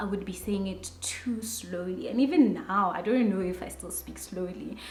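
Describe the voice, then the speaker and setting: A woman with a South African accent speaks at a medium pitch with ordinary variation. Noticeable background noise and audible room echo are present. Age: adult. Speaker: YouTuber. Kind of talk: personal vlog monologue. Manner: slow.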